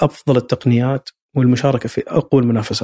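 A man's voice comes through with a dark, mellow tone and is somewhat breathy. The sound is dry and close, with no echo. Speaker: sports institute director and football coach. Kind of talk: interview. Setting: institute office. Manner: halting, repeated words.

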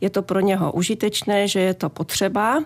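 In a very clean recording with a silent background, a woman talks at a moderate pace in a normal speaking voice with a medium pitch. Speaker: physician. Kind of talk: radio advice interview. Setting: radio studio.

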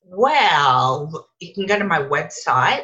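This is a woman speaking. She talks in an Australian accent. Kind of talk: interview.

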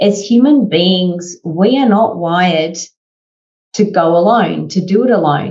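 Her loudness very even, a woman speaks at a fairly slow pace in a medium, somewhat breathy pitch with ordinary pitch variation. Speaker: podcast host. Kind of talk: interview conversation.

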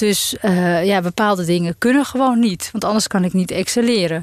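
This is a normal speaking voice at a moderate pace, with ordinary pitch variation. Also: woman. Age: 40s. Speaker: business owner and speaker. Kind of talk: interview.

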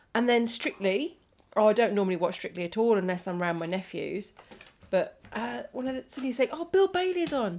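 Fairly quick and fairly high-pitched, a woman speaks with very wide pitch swings. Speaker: podcast host and comedian. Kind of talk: casual solo chat. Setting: at home on a sofa with a dog.

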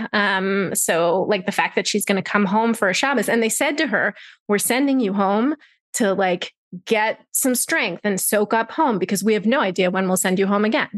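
At a moderate pace, a woman with an unremarkable speaking voice and a medium pitch keeps very even loudness and ordinary pitch variation over a quiet background. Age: 40s. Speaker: freelance writer and mother. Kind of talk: interview.

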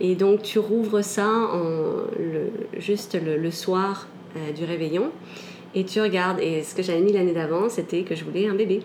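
Amid noticeable background noise and audible room echo, a woman talks at a fairly slow pace in a medium pitch. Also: fairly even intonation. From Canada (Quebec), with stays in France. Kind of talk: personal testimony interview. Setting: at home.

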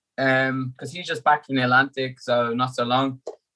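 A man talks with an Irish accent at a moderate pace and a medium pitch. The sound is dry and close, with no echo. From Ireland. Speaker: endurance athlete. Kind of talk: casual chat.

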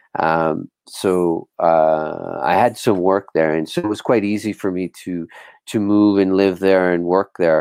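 A man talks at a fairly slow pace with very deep, low pitch. His intonation is fairly even, and the sound is dry and close with no echo. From Bermuda. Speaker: software entrepreneur. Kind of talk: interview.

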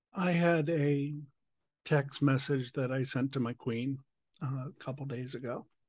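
The voice is somewhat breathy, and the intonation stays fairly even. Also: man, fairly high pitch for a man, fairly slow pace. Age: 60s. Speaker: podcast host. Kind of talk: interview conversation. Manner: emotional, voice cracking.

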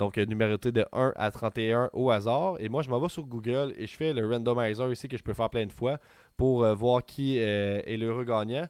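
A man talks with a Quebec accent at a medium pitch. His pace is moderate, with ordinary pitch variation. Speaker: wrestling podcast co-host. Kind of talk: casual chat. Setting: live stream. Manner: animated.

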